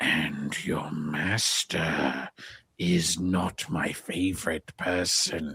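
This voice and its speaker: Raspy and growling, a put-on character voice moves at a very slow pace. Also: man, very deep, low pitch for a man. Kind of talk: sophisticated, Shakespearean. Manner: menacing, theatrical.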